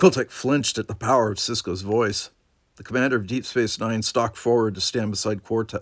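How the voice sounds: Natural voice for reading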